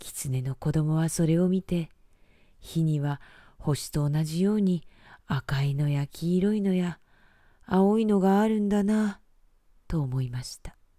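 A woman with a dark, mellow tone speaks at a fairly low pitch with ordinary pitch variation. Her pace is fairly slow, with long, frequent pauses. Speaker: announcer and narrator. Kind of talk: bedtime story reading.

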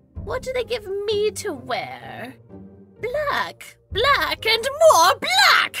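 A whiny, put-on character voice over faint music in the background. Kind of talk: comic audio drama monologue. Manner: grouchy, sarcastic, whiny.

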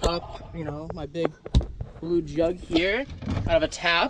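A man speaks at a high pitch. The sound is dry with no echo, though noticeable background noise is present. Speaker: van builder vlogger. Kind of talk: casual vlog chat. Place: car. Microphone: phone near.

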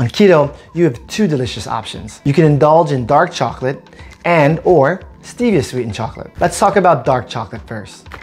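The speaker goes at a fairly quick pace while faint music plays in the background. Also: man. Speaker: cooking channel host. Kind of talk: tutorial. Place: kitchen.

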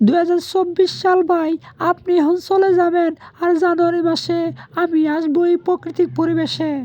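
Pitched extremely high, the cartoonish character voice carries through. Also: moderate pace.

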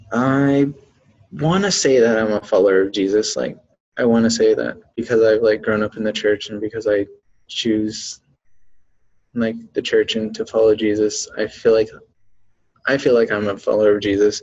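Long, frequent pauses break up a man's speech, which keeps fairly even intonation. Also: moderate pace. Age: young. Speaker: university student. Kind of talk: interview testimony. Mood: reflective, earnest. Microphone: webcam.

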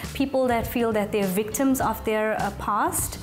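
A woman at a moderate pace with ordinary pitch variation, clear music in the background. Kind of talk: interview answer. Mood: warm, confident. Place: cafe.

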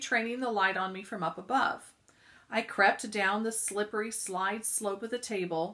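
A plain reading aloud

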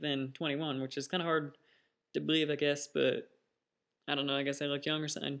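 The background stays quiet as a man talks with a fairly high pitch. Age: 20s. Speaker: vlogger; first-time vlogger. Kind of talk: casual vlog monologue. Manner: hesitant, many fillers. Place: home room. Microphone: webcam.

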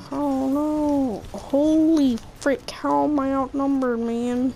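Against noticeable background noise, a woman speaks in a high voice at a very slow pace. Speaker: gaming youtuber. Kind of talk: gameplay commentary. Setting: home recording at night. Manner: loud.

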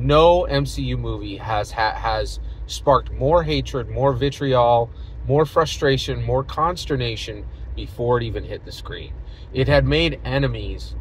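A man at a fairly slow pace, in a dry sound with no echo, with light background noise. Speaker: vlogger. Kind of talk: casual vlog commentary. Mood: opinionated, engaged. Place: car. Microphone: phone near.

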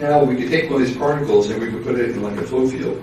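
A man speaks with fairly even intonation and a slightly mellow tone, with audible room echo.

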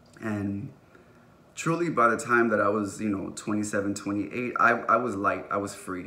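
Speaking at a fairly slow pace, a man uses a fairly low pitch with a bright, sharp tone and ordinary pitch variation. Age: 30s. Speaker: vlogger; vlogger sharing personal story. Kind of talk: personal vlog monologue. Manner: casual with many fillers. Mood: earnest, reflective, emotional. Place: home room. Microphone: phone near.

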